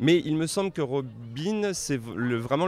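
With lively intonation, a man speaks very slowly as noticeable noise carries on in the background. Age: 30s. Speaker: comics scholar. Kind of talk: interview. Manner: halting.

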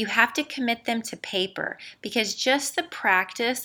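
A woman's bright, sharp tone at a fairly slow pace with ordinary pitch variation, on a very clean recording with a silent background. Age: 40s. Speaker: podcast host and salon business owner. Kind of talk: solo podcast monologue. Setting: conference center in her building, not studio.

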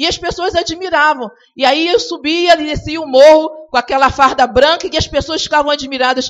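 The speaker is a woman with a high pitch. She keeps a moderate pace, with ordinary pitch variation. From Rio de Janeiro, Brazil. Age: 50s. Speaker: navy servicewoman giving a church testimony. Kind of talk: sermon.

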